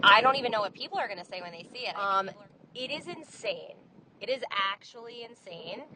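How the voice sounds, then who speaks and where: With big swings in loudness, a woman speaks at a fairly quick pace in a fairly high pitch with lively intonation and an unremarkable speaking voice. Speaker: bride. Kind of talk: voice message testimonial. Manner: excited, gushing.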